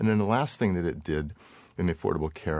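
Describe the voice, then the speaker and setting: Lively intonation runs through a man's very deep, low voice. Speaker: physician and health policy researcher. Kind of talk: panel discussion.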